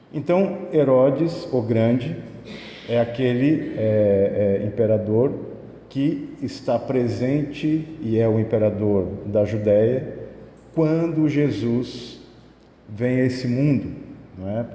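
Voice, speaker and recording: A man speaks at a medium pitch and a very slow pace. His pitch varies in an ordinary way, and audible room echo surrounds him. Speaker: spiritist lecturer. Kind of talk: lecture. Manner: soft-spoken.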